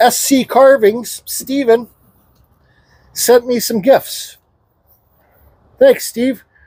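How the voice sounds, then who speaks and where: A man speaks at a very slow pace with an extremely high pitch, long and frequent pauses, a dark, mellow tone and fairly even intonation. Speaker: woodcarver. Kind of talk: tutorial.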